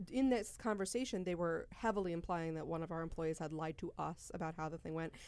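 At a fairly quick pace, a woman speaks in a normal speaking voice. Her pitch is fairly low, with ordinary variation. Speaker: podcast host and business executive. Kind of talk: casual chat podcast.

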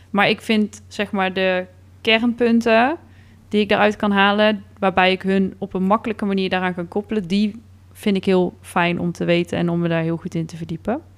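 Moderately paced, this is an ordinary speaking voice with fairly even intonation. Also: woman, medium pitch for a woman. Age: 30s. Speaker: podcast co-host. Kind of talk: casual chat.

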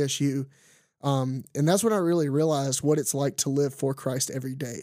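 A man with a Louisiana accent has a fairly high pitch and a dark, mellow tone. The recording is very clean, with a silent background. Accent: Southern US (Louisiana). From Louisiana, US South. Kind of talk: casual monologue; testimony. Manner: animated, filler-heavy.

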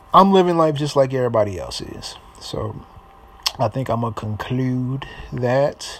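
Noticeable background noise sits under an American-accented voice that moves at a moderate pace, with big swings in loudness and long, frequent pauses. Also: man, medium pitch for a man, ordinary pitch variation. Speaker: podcaster and rapper. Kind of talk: casual monologue. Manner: halting.

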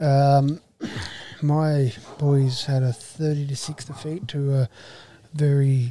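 In an Australian accent, a man speaks in a fairly high pitch with a dark, mellow tone, somewhat breathy and in a flat monotone. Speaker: rugby league podcast host and junior coach. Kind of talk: casual chat.

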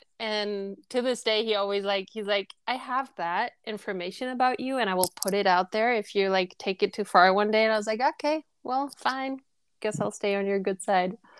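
At a moderate pace with hardly any pauses, a woman with a German accent speaks in a medium pitch with ordinary pitch variation, in a dry, close sound with no echo on a very clean recording with a silent background. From Germany. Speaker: guest. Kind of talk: casual interview chat.

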